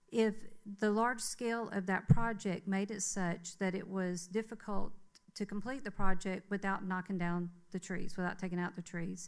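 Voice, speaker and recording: A woman's medium-pitched voice in a Southern US accent, with fairly even intonation and a moderate pace, on a very clean recording over a silent background. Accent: Southern US (Georgia). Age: 60s. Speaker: public commenter at city council meeting. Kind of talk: public comment. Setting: city council meeting. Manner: hesitant, many fillers.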